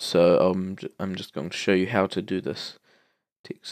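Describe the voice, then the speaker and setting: Someone with a New Zealand accent talks at a fairly slow pace in a very clean recording with a silent background and a dry, close sound with no echo. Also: man. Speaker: tutorial maker. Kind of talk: tutorial. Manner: hesitant, many fillers.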